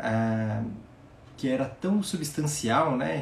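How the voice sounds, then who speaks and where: Very slow speech from a man at medium pitch, with ordinary pitch variation and audible room echo. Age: 20s. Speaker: podcast host, personal development coach. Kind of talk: live motivational talk. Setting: live stream. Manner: warm, reflective.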